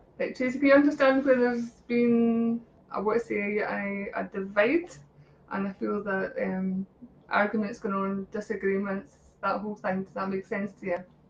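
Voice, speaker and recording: A woman's voice with big swings in loudness and ordinary pitch variation, over noticeable background noise. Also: medium pitch for a woman. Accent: Scottish. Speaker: psychic reader. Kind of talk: live-stream psychic readings. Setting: live video stream. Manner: animated; fast.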